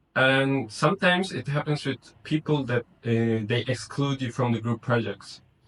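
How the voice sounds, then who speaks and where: Here a man speaks with a non-native accent at a moderate pace. His medium pitch shows ordinary variation. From Kazakhstan. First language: not English. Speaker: university student. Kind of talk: interview. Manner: halting, many fillers.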